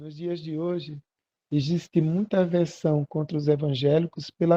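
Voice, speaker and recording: A man's fairly high voice has a dark, mellow tone and fairly even intonation against a quiet background. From Brazil, Pernambuco (Arcoverde). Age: 60s. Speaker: pastor. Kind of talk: sermon.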